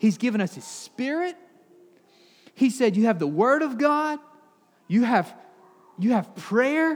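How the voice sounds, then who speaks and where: A man with a Southern US accent speaks at an extremely high pitch with very wide pitch swings. His pace is fairly slow, broken by long, frequent pauses. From Alabama, US South. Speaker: pastor. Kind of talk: sermon.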